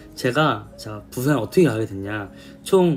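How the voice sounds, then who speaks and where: A man talks with lively intonation while music runs in the background. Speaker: K-pop idol singer. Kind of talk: casual storytelling to camera.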